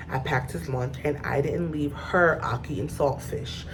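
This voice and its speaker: A woman's very deep, low voice with an animated tone and lively intonation, amid noticeable background noise and audible room echo. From Mount Vernon, New York. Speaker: vlogger, hairstylist. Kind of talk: personal storytelling. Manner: emotional, animated.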